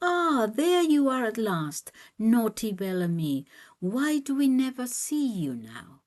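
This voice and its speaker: A female-sounding voice puts on a character at a fairly high pitch. The pace is fairly slow, with very wide pitch swings. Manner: happy, playful.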